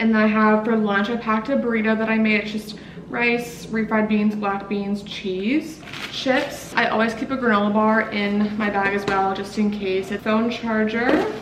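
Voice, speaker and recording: Over noticeable background noise and audible room echo, a woman with a fairly high pitch speaks at a moderate pace with fairly even intonation. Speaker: medical assistant vlogger. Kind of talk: casual vlog narration. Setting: at home.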